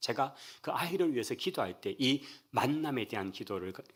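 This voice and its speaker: A man with a Gyeongsang accent at a fairly quick pace, on a very clean recording with a silent background. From Daegu, South Korea. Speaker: pastor. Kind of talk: sermon. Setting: church.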